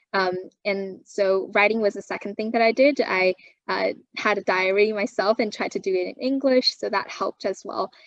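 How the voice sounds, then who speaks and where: A woman's medium-pitched voice in a Chinese accent, at a moderate pace with ordinary pitch variation. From China, moved to Canada at 12. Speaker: university student. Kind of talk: interview. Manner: frequent fillers and self-repairs.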